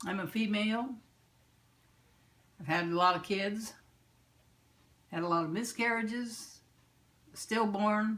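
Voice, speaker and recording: In an American accent, a woman speaks at a fairly slow pace with long, frequent pauses. Her pitch is fairly high with ordinary variation, and the room echo is audible. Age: 80s+. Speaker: interviewee. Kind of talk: interview.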